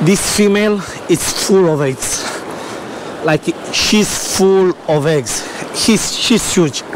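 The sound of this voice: A man speaks slowly in a high pitch with ordinary pitch variation, and background noise is clearly audible.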